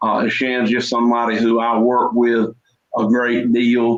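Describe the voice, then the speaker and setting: A man talks in a Deep South accent. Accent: Southern US (Deep South). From US South, Mississippi (Jones County). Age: 50s. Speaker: livestock breeder, farmer. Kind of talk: casual chat.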